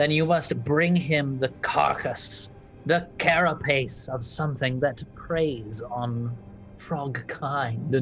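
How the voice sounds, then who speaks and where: Clear music plays in the background as a put-on character voice at a low-to-middle pitch talks at a very slow pace. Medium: actual play. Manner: cooing, grandmotherly, calls others dearie.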